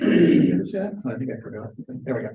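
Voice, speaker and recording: A man's somewhat breathy voice moves with lively intonation. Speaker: Bible study teacher. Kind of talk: lecture. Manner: animated.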